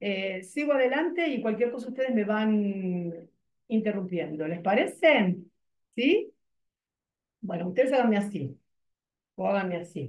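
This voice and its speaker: A woman speaks at a fairly slow pace with long, frequent pauses. There is audible room echo over a quiet background. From Argentina. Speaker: body expression and yoga teacher. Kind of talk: online workshop presentation. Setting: video call. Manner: animated. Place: office. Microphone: video call.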